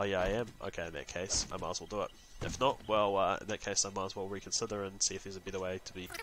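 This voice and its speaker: A man talks at a very fast pace in a flat monotone. He has a slight New Zealand accent. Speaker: gaming YouTuber. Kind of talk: gameplay commentary. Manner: casual, hesitant with many fillers.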